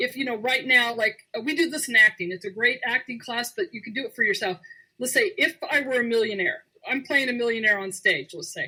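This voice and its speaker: A woman with an American accent speaks at a fairly quick pace and high pitch in a bright, sharp tone. Her intonation is lively, and her loudness swings widely. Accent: people think she sounds Southern. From Arizona. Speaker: radio show host and actor. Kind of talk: casual chat on a call-in show. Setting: radio show taking calls.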